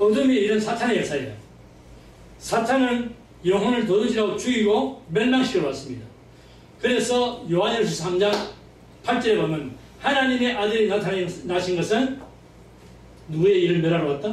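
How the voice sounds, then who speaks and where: Over noticeable background noise and audible room echo, a man with a high pitch talks at a moderate pace, his intonation lively and his pauses long and frequent. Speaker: pastor. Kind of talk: sermon.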